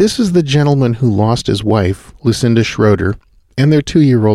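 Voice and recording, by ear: Someone reads aloud in a natural voice.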